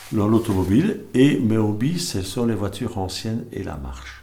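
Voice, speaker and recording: In a room with audible echo, a man speaks very slowly in a somewhat breathy voice with a dark, mellow tone. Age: 60s. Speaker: service club candidate. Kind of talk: candidacy statement. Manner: halting, many hesitations.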